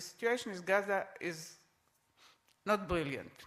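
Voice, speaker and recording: In an Israeli accent, a woman speaks at a moderate pace and medium pitch with ordinary pitch variation. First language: Hebrew. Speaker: panelist. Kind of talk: panel discussion. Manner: halting.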